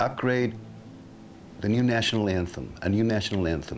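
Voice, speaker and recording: The speaker talks at a moderate pace with a Mexican accent. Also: man. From Mexico. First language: Spanish. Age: 60s. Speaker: guitarist. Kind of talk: interview answer.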